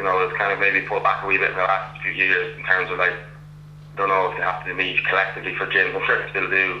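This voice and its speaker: A man with a Meath Irish accent talks at a very fast pace, broken by long, frequent pauses. There is audible room echo and noticeable background noise. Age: 30s. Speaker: Gaelic football club captain. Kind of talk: casual interview. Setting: phone call.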